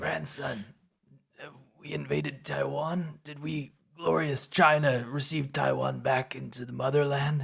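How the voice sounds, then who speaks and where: A man puts on a raspy character voice. He speaks at a moderate pace with a medium pitch. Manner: grandiose, nationalistic.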